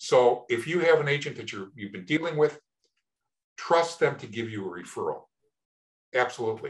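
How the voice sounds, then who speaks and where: A man talks at a moderate pace with lively intonation and vocal fry. His loudness swings widely, and he leaves long, frequent pauses. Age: 70s. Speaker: Medicare insurance agent. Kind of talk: interview. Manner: repeats words, some false starts.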